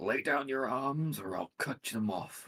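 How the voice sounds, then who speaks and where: A man puts on a character voice at medium pitch, talking at a fairly slow pace. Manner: bellowing, commanding.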